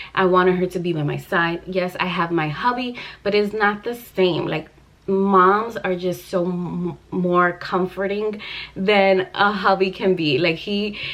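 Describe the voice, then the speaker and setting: This woman has a normal speaking voice at medium pitch. She talks at a fairly slow pace with fairly even intonation. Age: 30s. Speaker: vlogger. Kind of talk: casual storytelling vlog. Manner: emotional.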